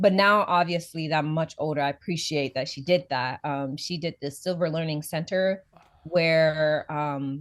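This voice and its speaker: A woman talks at a moderate pace, her pitch very deep and low, her intonation fairly even. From Sierra Leone, grew up in China. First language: West African language, then Mandarin. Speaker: interview guest. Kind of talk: casual chat.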